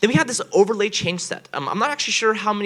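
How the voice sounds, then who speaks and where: The voice has a bright, sharp tone. Its pitch swings very widely. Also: man. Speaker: software developer giving conference talk. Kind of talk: technical conference presentation. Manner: fast.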